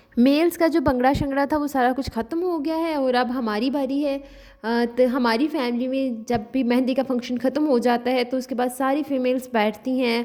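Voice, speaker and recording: With a dark, mellow tone and high pitch, a woman speaks with fairly even intonation and hardly any pauses. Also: very clean recording, silent background. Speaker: vlogger. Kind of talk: vlog narration. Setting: village wedding.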